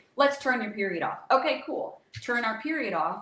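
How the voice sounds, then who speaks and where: A woman talks at a fairly quick pace in an animated tone with lively intonation. Audible room echo and noticeable background noise surround her voice. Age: 40s. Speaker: holistic hormone health expert. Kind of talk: podcast interview. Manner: fast.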